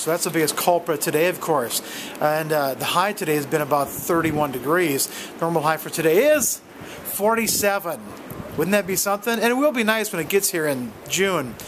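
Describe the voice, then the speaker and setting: Through noticeable background noise, a man with a high pitch speaks at a moderate pace with lively intonation. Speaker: amateur weather reporter. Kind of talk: casual vlog weather update. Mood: wry, friendly. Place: street. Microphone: phone near.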